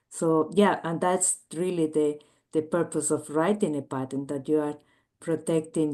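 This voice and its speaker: In a Chilean accent, a woman speaks fairly slowly with a dark, mellow tone, very deep and low in pitch, her intonation fairly even against a quiet background. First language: Spanish. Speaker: biomedical engineer and entrepreneur. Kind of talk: interview. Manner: halting, many filler words.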